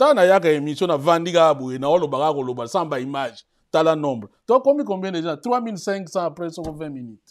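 A man talks with lively intonation at a moderate speed, the background quiet. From DR Congo. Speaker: political commentary web TV host; news commentator. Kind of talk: news commentary show. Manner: hesitant with many fillers. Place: studio.

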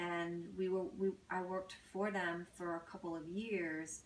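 A woman speaks against light background noise. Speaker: technology company founder and president. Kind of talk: interview. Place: home room. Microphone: camera far.

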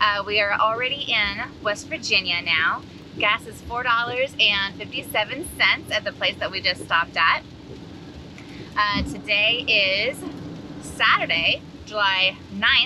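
A woman's fairly slow speech with ordinary pitch variation, a dry sound with no echo and noticeable background noise. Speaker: family travel vlogger. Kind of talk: casual vlog chat. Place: car. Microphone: phone near.

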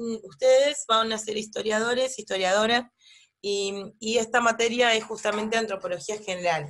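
A woman with a fairly high pitch uses an unremarkable speaking voice at a moderate pace, with ordinary pitch variation over a quiet background. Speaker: university lecturer. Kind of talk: lecture. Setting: pre-recorded online class. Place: home room. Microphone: webcam.

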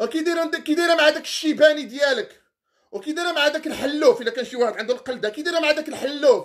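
The tone is animated, with lively intonation. The background is quiet. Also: man. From Morocco. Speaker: Islamic preacher. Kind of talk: religious talk on a live stream. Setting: live stream. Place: home room. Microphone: phone near.

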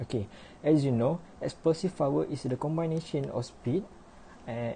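A man's somewhat breathy, dark, mellow voice at a fairly high pitch, with ordinary pitch variation and a fairly quick pace over light background noise. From Malaysia. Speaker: university student; presenter. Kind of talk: class presentation; lecture. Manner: halting. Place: home room. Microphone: webcam.

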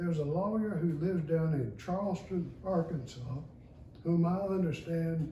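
A man's high-pitched voice with ordinary pitch variation, at a moderate pace, with light background noise and audible room echo. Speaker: retired lawyer and judge, law school alumnus. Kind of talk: oral history recollection. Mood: warm, anecdotal. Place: home room. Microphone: camera far.

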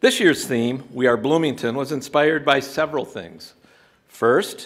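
The voice carries vocal fry and moves at a fairly slow pace. Behind it, the background is quiet. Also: man. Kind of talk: formal speech. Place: hall.

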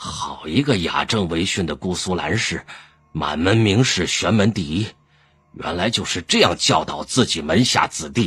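In a put-on character voice, a man growls at a moderate pace, raspy and hoarse, very deep and low, with a furious tone. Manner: furious, bitterly sarcastic.

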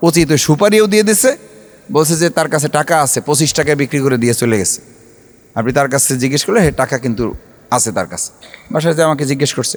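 The intonation is lively. It is an ordinary speaking voice. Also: man, fairly high pitch for a man. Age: 40s. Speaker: politician. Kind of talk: public speech.

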